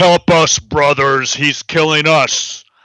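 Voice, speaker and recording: A man does a put-on character voice at a fairly slow pace. His intonation is monotone and flat. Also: fairly high pitch for a man. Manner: demonic, crying out.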